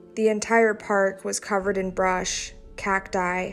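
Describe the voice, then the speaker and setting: Music plays in the background as a woman speaks at a medium pitch. Her intonation is monotone and flat. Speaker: horror story narrator. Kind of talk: horror story reading.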